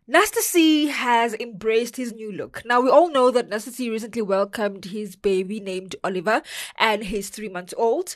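A woman with a South African accent, fairly high in pitch and animated in tone, at a moderate pace, with ordinary pitch variation and big swings in loudness. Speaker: entertainment podcast co-host. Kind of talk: casual entertainment news chat.

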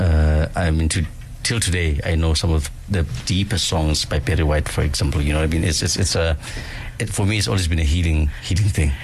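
Noticeable background noise sits behind a fairly quick delivery with very even loudness and ordinary pitch variation. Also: man, very deep, low pitch for a man. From South Africa, Soweto. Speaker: city councillor. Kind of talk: radio interview.

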